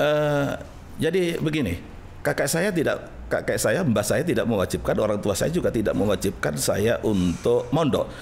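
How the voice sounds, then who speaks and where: A man talks at a moderate pace with very even loudness. Light background noise sits behind him. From East Java, Indonesia (Gresik); East Java, Indonesia. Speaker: Islamic cleric; guest. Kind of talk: interview. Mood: reflective, personal storytelling. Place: studio. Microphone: studio mic.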